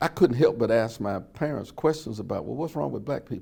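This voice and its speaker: Speaking with an American accent, a man has a dark, mellow tone, vocal fry and ordinary pitch variation. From US South, Birmingham, Alabama. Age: 70s. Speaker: civil rights era witness. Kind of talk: oral history interview. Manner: some hesitations and repeated words.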